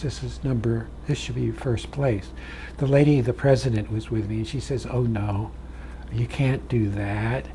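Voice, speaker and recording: Speaking fairly slowly, a man is heard over noticeable background noise. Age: 80s+. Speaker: painting instructor. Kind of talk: tutorial with anecdotes. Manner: casual, folksy.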